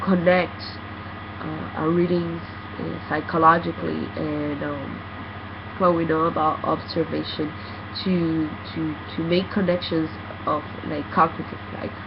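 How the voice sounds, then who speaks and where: The speech comes at a fairly slow pace with long, frequent pauses. Background noise is noticeable. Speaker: student. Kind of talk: recorded class presentation. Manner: halting, many fillers.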